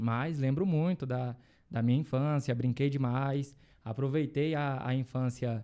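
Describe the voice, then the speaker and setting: With a Goiás accent, a man speaks in a dark, mellow tone at a medium pitch and a fairly slow pace, with fairly even intonation and very even loudness. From Brazil, Goiás (Luziânia, near Brasília). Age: 20s. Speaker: lawyer. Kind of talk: interview.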